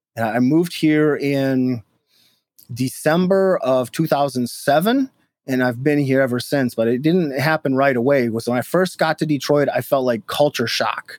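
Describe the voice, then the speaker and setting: Dry and close with no echo, a man's fairly high voice with an American accent moves at a moderate pace with ordinary pitch variation and very even loudness. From Minnesota, US Midwest. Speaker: former extremist turned deradicalization worker. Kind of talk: interview testimony. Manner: halting, repeats words.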